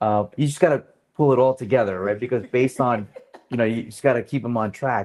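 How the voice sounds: A man speaks at a fairly quick pace with a medium pitch and a slightly mellow tone. His pitch varies in an ordinary way.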